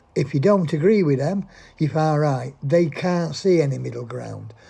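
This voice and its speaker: With a British accent, the speech moves along at a moderate pace. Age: 70s. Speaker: vlogger. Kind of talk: opinion monologue.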